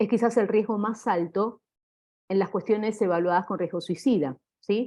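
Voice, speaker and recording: Over a quiet background, a woman with a fairly high pitch and a dark, mellow tone speaks at a moderate pace with ordinary pitch variation. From Argentina. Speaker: clinical psychologist. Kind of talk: lecture.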